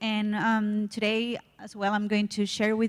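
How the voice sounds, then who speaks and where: Recorded very cleanly against a silent background, a woman with a Spanish accent speaks at a medium pitch. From Costa Rica. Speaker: microfinance regional coordinator. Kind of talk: conference panel introduction.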